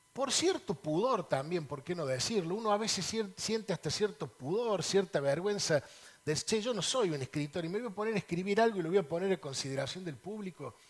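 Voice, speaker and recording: Talking at a fairly quick pace, a man uses a high voice with lively intonation. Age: 60s. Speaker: lawyer, politician and author. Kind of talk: TV interview.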